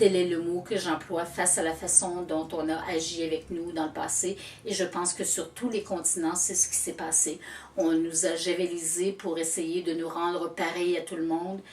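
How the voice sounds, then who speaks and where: Against noticeable background noise, a woman with a Quebec accent talks at a moderate pace in a fairly low, monotone, flat voice. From Quebec, Canada. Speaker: storyteller. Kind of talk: interview answer.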